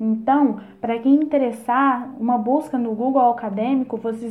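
With a normal speaking voice, a woman pitched fairly high talks at a fairly slow pace and fairly even intonation. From Brazil, Minas Gerais (near Barbacena). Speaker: theatre student and afro dancer. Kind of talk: interview.

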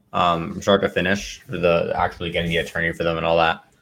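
Talking at a fairly quick pace, a man with a very deep, low pitch keeps a fairly even intonation. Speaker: caller, real estate wholesaler. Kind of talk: live Q&A call-in. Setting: video call, poor setup.

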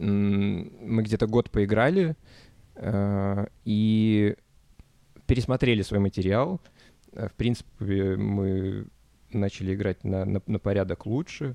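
A man's dark, mellow tone at a fairly low pitch, very slow pace with long, frequent pauses, fairly even intonation, and a dry, close sound with no echo. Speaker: band singer. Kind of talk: interview. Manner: halting.

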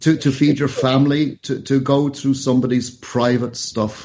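A man at a fairly high pitch, talking at a moderate pace. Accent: Irish. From Ireland. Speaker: radio show host. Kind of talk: news discussion.

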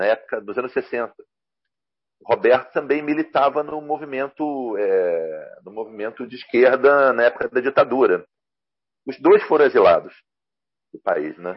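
Loudness swings widely as a man talks at a moderate pace, broken by long, frequent pauses. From Rio de Janeiro, Brazil. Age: 50s. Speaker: comics journalist and translator. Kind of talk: casual interview chat.

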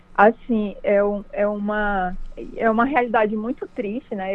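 In a plain, everyday voice, a woman talks at a moderate pace with a fairly high pitch and fairly even intonation. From Pará interior, Brazil (Capanema). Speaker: cyclist and online cycling promoter. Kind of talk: radio interview.

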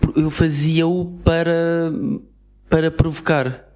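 A man with a European Portuguese accent. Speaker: podcast co-host. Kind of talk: casual chat.

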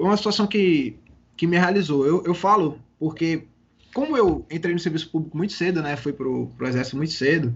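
His pace runs fairly quick, with ordinary pitch variation. The voice belongs to a man and is high in pitch. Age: 30s. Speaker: civil police investigator. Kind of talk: casual interview. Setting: remote call.

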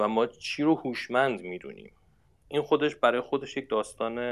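Speaking at a moderate pace, a man with medium pitch and ordinary pitch variation comes through in a very clean recording with a silent background. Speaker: university researcher in smart machines. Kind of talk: interview. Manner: halting with fillers.

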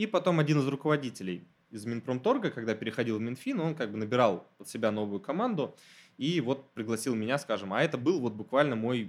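A man talks fairly quickly in a plain, everyday voice. His pitch is medium and varies in a normal way. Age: 20s. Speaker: graduate student and former civil servant. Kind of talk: casual interview.

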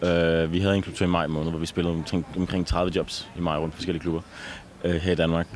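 Very fast speech runs in a monotone, flat intonation. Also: man, very deep, low pitch for a man. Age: 20s. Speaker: electronic music duo member. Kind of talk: interview.

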